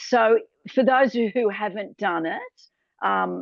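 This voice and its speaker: Here a woman speaks in an Australian accent. Her pace is moderate. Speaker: tour host. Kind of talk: webinar presentation. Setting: video call.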